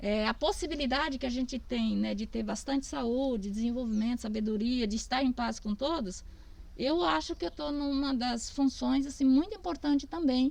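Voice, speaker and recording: Lively intonation carries the words along at a moderate pace. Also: woman, high pitch for a woman. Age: 60s. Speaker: family farmer. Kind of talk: casual interview. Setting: outdoors.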